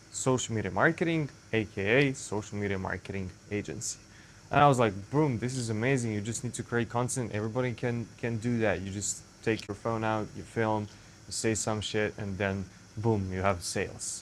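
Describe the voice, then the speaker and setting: In a Serbian accent, a man with a fairly low pitch speaks at a moderate pace with ordinary pitch variation. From Serbia (Zaječar). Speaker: content creator. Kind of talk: casual vlog monologue. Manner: halting, self-correcting.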